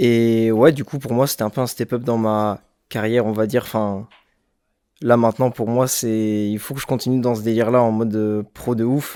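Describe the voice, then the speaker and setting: In a very clean recording with a silent background, a man with a dark, mellow tone speaks at a moderate pace and medium pitch, with fairly even intonation. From France, Bordeaux. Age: 20s. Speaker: rapper. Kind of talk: interview. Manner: hesitant, many fillers.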